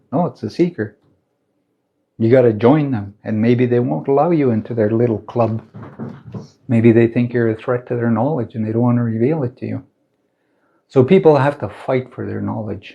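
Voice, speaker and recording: A man talks at a moderate pace in a medium pitch. His speech has long, frequent pauses. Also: ordinary pitch variation. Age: 60s. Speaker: spiritual teacher. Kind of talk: livestream talk. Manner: animated.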